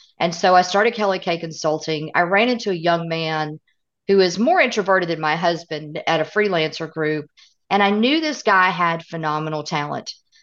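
A woman with a Southern US accent speaks at a moderate pace in a fairly low pitch, with ordinary pitch variation over a quiet background. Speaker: author and consultant. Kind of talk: interview conversation.

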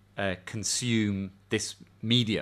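In a very clean recording with a silent background, a man with an English accent speaks at a fairly low pitch. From England. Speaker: professor. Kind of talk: casual chat.

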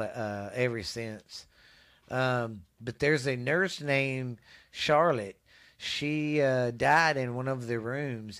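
Very slowly, a man with a Texas accent speaks at medium pitch with ordinary pitch variation, in a very clean recording with a silent background. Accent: Texas Southern US. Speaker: podcast host. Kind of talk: casual chat. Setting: home recording in cold weather.

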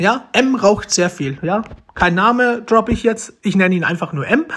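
A man speaks at a fairly slow pace in an animated tone. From Romania, adopted and raised in Germany. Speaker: podcaster. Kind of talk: casual monologue. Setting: at home.

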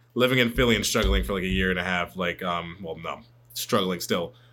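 Very fast speech from a man with a very deep, low pitch, vocal fry, a bright, sharp tone and ordinary pitch variation. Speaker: podcast host. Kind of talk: casual chat.

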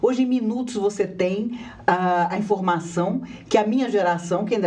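Audible room echo follows a woman who speaks at a moderate pace with ordinary pitch variation. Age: 50s. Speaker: spiritist lecturer. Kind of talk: live studio interview on religion. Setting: TV studio.

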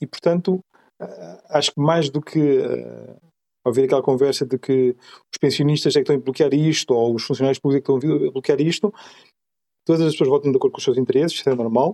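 A man with a dark, mellow tone and fairly high pitch at a fairly quick pace, in a dry, close sound with no echo. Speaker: podcast host. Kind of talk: casual discussion.

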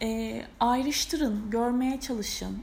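A woman's high-pitched voice. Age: 30s. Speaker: astrology podcaster. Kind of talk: solo podcast monologue. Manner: casual, hesitant with fillers.

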